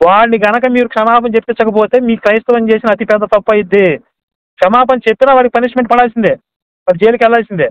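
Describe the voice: A man's extremely high-pitched voice at a very fast pace, clear and smooth in tone, with fairly even intonation. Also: dry, close sound with no echo.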